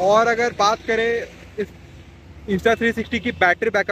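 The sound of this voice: A man with a high pitch and a fairly bright tone speaks at a moderate pace.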